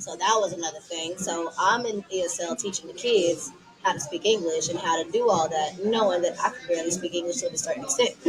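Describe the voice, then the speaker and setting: A woman talks very fast at a medium pitch with ordinary pitch variation. Music plays in the background. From Texas, Dallas. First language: Tigrinya. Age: 20s. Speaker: podcast guest. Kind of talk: casual chat.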